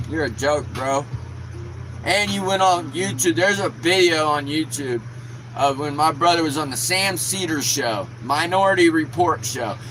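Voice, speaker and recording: This man's fairly high voice carries lively intonation at a moderate speed, with noticeable noise behind it. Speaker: YouTuber. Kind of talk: angry rant. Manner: animated.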